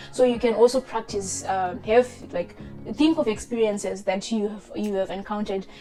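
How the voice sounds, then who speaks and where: A woman with a non-native accent, medium pitch, fairly even intonation and a fairly quick pace, music in the background. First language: not English. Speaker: chartered accountant giving career advice. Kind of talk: tutorial. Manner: casual, hesitant with many fillers.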